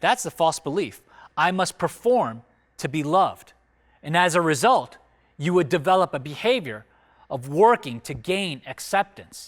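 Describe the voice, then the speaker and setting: A man with an American accent speaks in a high voice with very wide pitch swings, on a very clean recording with a silent background. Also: moderate pace. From United States, Korean immigrant family. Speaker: church teacher. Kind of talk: recorded teaching talk. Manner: conversational with fillers.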